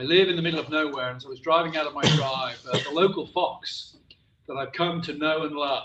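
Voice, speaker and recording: In a room with audible echo, a man with a West Country accent talks at a fairly quick pace and a fairly high pitch, his intonation fairly even but his loudness swinging a lot. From West Country, England. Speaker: professor. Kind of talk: lecture.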